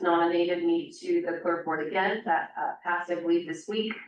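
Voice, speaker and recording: A woman talks as noticeable noise carries on in the background. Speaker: oversight board member. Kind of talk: public meeting remarks. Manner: hesitant, many fillers.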